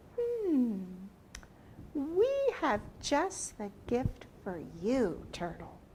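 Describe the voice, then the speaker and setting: A woman puts on a character voice with a Brooklyn-free, high pitch and very wide pitch swings. She speaks at a very slow pace with long, frequent pauses over clear background noise. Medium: read story. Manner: stately, formal.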